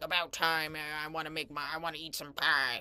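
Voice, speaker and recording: In a put-on character voice at middle pitch, the speaker goes at a fairly quick pace with monotone, flat intonation. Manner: grumpy, rude.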